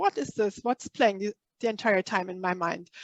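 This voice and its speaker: With ordinary pitch variation, a woman speaks in a non-native accent, and the sound is dry and close with no echo. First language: not English. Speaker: spiritual workshop leader. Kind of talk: online workshop talk. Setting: live online workshop. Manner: halting, many fillers.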